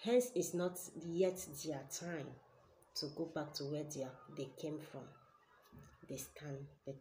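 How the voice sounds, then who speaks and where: A somewhat breathy woman with a Nigerian accent, her pitch very deep and low, her tone dark and mellow, with noticeable background noise. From Nigeria, Ebonyi State. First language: Igbo. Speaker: spiritual teacher and healer; spiritual teacher. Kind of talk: spiritual teaching video. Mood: earnest, explanatory. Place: home room. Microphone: webcam.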